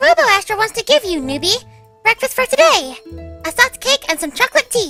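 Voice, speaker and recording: A put-on character voice, squeaky and bubbly, goes extremely high with very wide pitch swings at a fairly quick pace over faint background music. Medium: audio drama. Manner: bubbly, chirpy.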